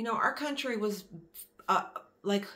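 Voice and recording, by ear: A woman with an American accent and a bright, sharp tone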